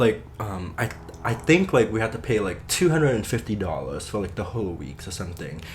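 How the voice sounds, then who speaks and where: A man's fairly low, somewhat breathy voice with lively intonation at a moderate pace. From Cambodia. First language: Khmer. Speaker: Khmer language teacher. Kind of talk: interview answer.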